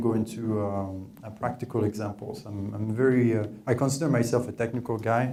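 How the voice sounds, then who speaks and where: Noticeable background noise sits behind a man with a French accent. He talks fairly quickly at medium pitch with fairly even intonation. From France. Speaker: data scientist, workshop presenter. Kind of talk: technical presentation. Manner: hesitant, many filler words.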